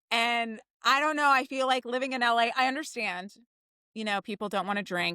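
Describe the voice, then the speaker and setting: An animated, bright, sharp voice comes through with a New Jersey accent at a moderate pace. The sound is dry and close, with no echo. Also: woman, very clean recording, silent background. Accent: New Jersey American. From New Jersey, Jersey Shore. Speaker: theater writer and director. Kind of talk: casual chat.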